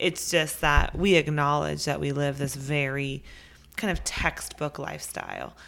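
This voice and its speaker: A woman with a very deep, low pitch talks at a fairly slow pace, her intonation fairly even and her voice showing vocal fry. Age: 30s. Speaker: podcast co-host, working parent. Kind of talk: casual chat.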